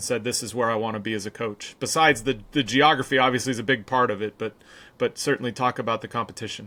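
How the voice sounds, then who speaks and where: Very fast speech from a man at a medium pitch. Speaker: podcast host. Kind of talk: podcast interview.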